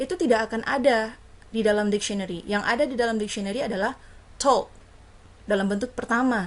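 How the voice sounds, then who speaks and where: Speaking very fast yet with long, frequent pauses, the voice shows ordinary pitch variation. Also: woman, fairly high pitch for a woman. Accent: Indonesian. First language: Indonesian. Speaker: university lecturer. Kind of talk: lecture. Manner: code-switching between English and Indonesian.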